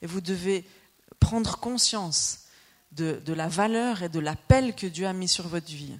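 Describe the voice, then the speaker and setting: At a fairly slow pace, a woman speaks at medium pitch with ordinary pitch variation. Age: 40s. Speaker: preacher. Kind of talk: sermon. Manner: animated.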